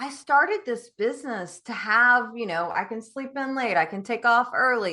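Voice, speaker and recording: Against a quiet background, a woman speaks at a high pitch with an animated, bright, sharp tone and lively intonation. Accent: Southern US. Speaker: business coach. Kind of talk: podcast interview.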